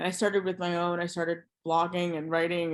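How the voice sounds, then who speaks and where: A woman's unremarkable speaking voice in an American accent, fairly low-pitched and fairly quick, over a quiet background. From USA. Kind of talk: interview conversation.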